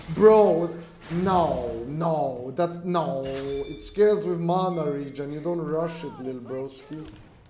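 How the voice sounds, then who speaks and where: Over music in the background and audible room echo, a man with a fairly high pitch speaks at a very slow pace with ordinary pitch variation and big swings in loudness. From Australia. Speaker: video game streamer. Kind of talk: live gameplay stream chat. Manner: casual, rambling with fillers.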